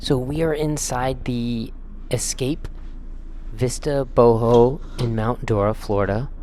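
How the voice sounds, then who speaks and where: A man speaks very slowly at a medium pitch, with long, frequent pauses, fairly even intonation and audible room echo. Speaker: tiny house tour vlogger. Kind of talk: casual tour narration. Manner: informal, filler-heavy.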